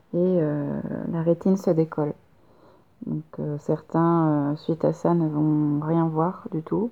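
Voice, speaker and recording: A woman's very deep, low voice at a very slow pace, with long, frequent pauses and fairly even intonation. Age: 30s. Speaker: photographer. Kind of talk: casual conversation.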